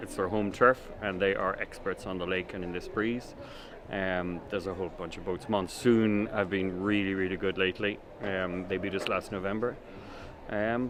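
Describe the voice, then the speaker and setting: A man with a Dublin accent speaks at a fairly quick pace. His very deep, low voice stays monotone and flat. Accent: Irish (Dublin). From Ireland, Dublin. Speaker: sailing team owner. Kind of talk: interview. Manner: hesitant, many fillers.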